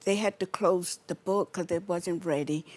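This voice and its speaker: A woman's fairly low voice, with fairly even intonation, comes through with a dry, close sound and no echo. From US South, Georgia. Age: 60s. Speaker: spiritual life coach. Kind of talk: monologue to camera.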